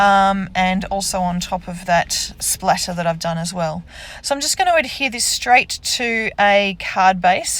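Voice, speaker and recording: Female speaker with an Australian accent. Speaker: card-making crafter. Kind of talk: crafting tutorial. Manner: casual, hesitant with ums.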